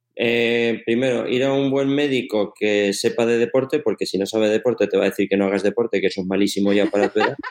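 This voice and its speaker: Through noticeable background noise, a man at medium pitch talks at a very fast pace with fairly even intonation and very even loudness. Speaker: sports science professor and coach. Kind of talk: interview.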